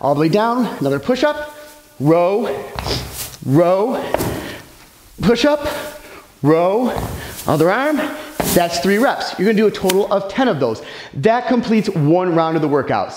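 A man talks at a moderate pace with long, frequent pauses. There is audible room echo and light background noise. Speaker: fitness trainer. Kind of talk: tutorial. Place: gym.

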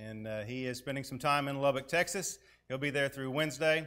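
The voice belongs to a man. Its pitch moves in an ordinary way. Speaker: preacher. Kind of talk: announcements then sermon. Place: church.

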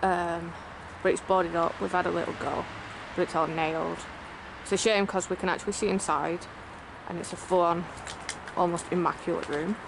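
Over noticeable background noise, a woman speaks at a fairly quick pace in a fairly low pitch with monotone, flat intonation, the sound dry with no echo. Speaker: urban explorer vlogger. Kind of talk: casual vlog chat. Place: open country. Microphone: phone near.

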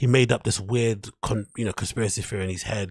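In a quiet background, a somewhat breathy man talks at a fairly quick pace with fairly even intonation. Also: dry sound with no echo. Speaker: livestream host. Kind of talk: commentary. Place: home room. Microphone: studio mic.

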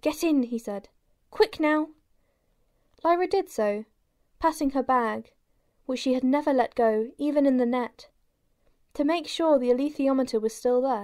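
In a dramatic tone, a woman with a high pitch and ordinary pitch variation speaks at a moderate pace with long, frequent pauses, on a very clean recording with a silent background. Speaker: audiobook narrator. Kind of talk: scripted audiobook narration, dramatic reading aloud of a novel. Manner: dramatic, expressive, changing voices for characters.

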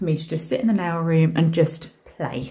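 Speaking at a fairly quick pace, a woman has a very deep, low pitch and a dark, mellow, somewhat breathy tone, with light background noise behind her. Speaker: nail art creator. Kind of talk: casual vlog chat. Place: home room.

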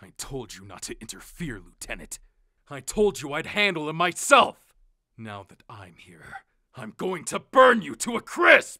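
In a put-on character voice of middle pitch, the speaker swings very widely in pitch at a moderate pace. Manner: angry, intense.

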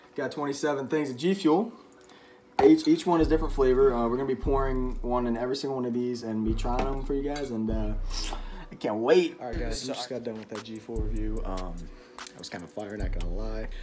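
A man's loudness swings widely against noticeable background noise. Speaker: vlogger. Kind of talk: casual vlog chat. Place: home room. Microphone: phone near.

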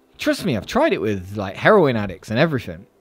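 A man talks while faint music sounds behind him. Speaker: finance youtuber. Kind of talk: casual vlog chat. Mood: playful, joking. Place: home room. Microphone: studio mic.

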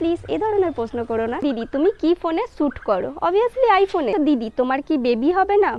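A woman's high-pitched voice with very wide pitch swings, dry and without echo. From West Bengal, India (Purba Bardhaman); West Bengal. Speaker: vlogger. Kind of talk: Q&A vlog, casual talk to viewers. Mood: friendly, mildly pleading.

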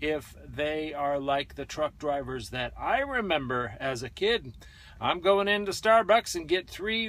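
Recorded with dry sound and no echo, a man speaks at a fairly slow pace. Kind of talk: casual vlog chat. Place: car. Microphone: phone near.

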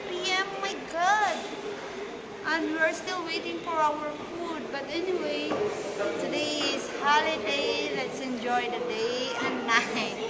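Crowd noise can be heard behind a woman speaking. She leaves long, frequent pauses. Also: fairly slow pace. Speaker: vlogger. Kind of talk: casual vlog chat. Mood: cheerful, relaxed. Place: cafe. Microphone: phone near.

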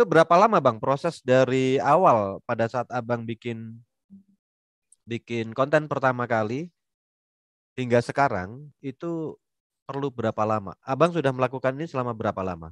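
A man talks at a moderate pace with ordinary pitch variation, his voice dry with no echo against a quiet background. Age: middle-aged. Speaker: webinar moderator, civil servant; webinar moderator. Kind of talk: casual webinar interview. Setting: video call. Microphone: headset.

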